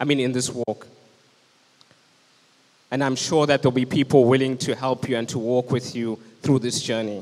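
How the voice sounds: Speaking at medium pitch and a moderate pace, a man uses little pitch movement and a slightly mellow tone, with long, frequent pauses.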